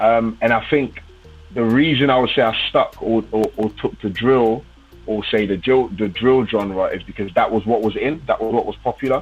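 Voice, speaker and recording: Over music in the background, a voice in a London accent moves at a moderate pace with ordinary pitch variation. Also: man. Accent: London English (MLE). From London, England. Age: 20s. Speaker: gospel drill rapper. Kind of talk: interview. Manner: casual.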